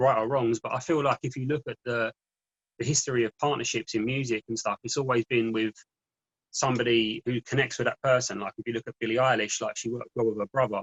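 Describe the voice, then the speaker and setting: Talking at a very fast pace, a man with a London accent sounds somewhat breathy and keeps his intonation fairly even. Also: medium pitch for a man. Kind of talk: interview. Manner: fast-talking.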